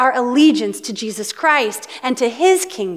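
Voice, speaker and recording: With a Pacific Northwest accent, the speaker's pitch swings very widely over noticeable background noise. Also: woman. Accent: Pacific Northwest American. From US Pacific Northwest. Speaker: pastor. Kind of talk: sermon.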